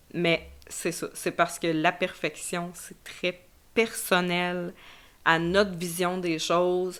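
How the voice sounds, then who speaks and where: In a Quebec accent, a woman speaks with a fairly low pitch on a very clean recording with a silent background. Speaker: podcast host. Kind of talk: solo podcast monologue.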